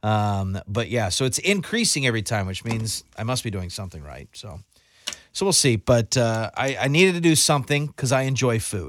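A man speaks at a moderate pace, his medium pitch leaping through very wide swings and his loudness rising and falling sharply. The recording is very clean, with a silent background. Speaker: radio host. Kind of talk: radio DJ patter, casual morning-show banter with a co-host. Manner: chatty, upbeat, easygoing; filler-heavy, rambling, jokey.

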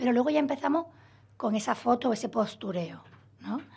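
A somewhat breathy woman speaks at a very fast pace. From Spain, Málaga (Andalusia). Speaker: psychologist. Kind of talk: radio interview, expert explanation.

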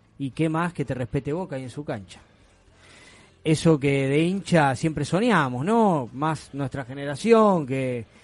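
With an ordinary speaking voice, a man talks at a fairly slow pace, his pitch fairly high and his intonation lively. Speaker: football fan radio host. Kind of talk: casual sports talk radio. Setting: studio.

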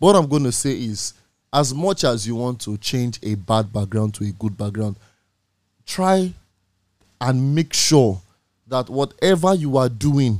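In a very clean recording with a silent background, a man speaks at a medium pitch and a fairly slow pace, with lively intonation and long, frequent pauses. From Nigeria. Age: 20s. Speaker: radio host. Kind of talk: casual chat. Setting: studio.

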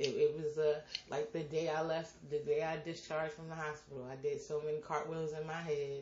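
Her voice very deep and low, a woman speaks at a moderate pace and sounds somewhat breathy. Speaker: podcast host. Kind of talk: casual chat. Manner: animated.

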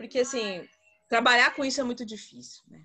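Music plays in the background. A woman with a high pitch speaks in fairly even intonation. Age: 30s. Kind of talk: group discussion. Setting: video call.

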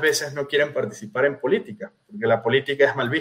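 At a fairly quick pace, a man talks in a fairly high, somewhat breathy voice. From Venezuela. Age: 30s. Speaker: political candidate. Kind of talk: interview.

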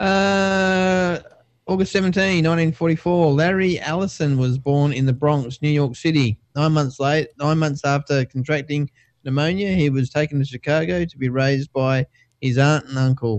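Speaking in an Australian accent, this man has a fairly high pitch. His pace is moderate. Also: ordinary pitch variation, very even loudness. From Perth, Western Australia. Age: 40s. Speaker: tech podcast co-host. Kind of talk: casual chat.

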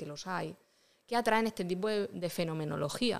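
Speaking at a fairly quick pace, a woman has an ordinary speaking voice with ordinary pitch variation. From Vega Baja del Segura, Alicante, Spain (Rojales). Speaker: illustrator and paranormal investigator. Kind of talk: casual interview.

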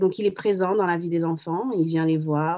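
A woman talks in an ordinary speaking voice. Her pace is moderate and her pitch variation ordinary. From France, Paris. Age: 30s. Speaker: single mother, entrepreneur. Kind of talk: testimony.

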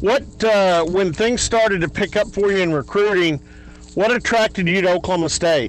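In a Texan accent, a man talks at a high pitch and a moderate pace. His loudness stays very even, and his pitch varies in an ordinary way. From Texas, Dallas area. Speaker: sports radio host. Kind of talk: interview.

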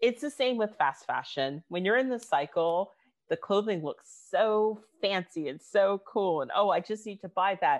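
In an American accent, a woman with an unremarkable speaking voice talks at a moderate pace with lively intonation. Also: medium pitch for a woman. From United States. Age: 30s. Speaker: fashion writer and activist. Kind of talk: panel discussion.

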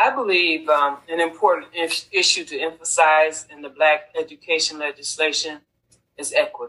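A woman with an American accent, moderate pace and big swings in loudness. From Rochester, New York. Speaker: university program director. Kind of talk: interview.

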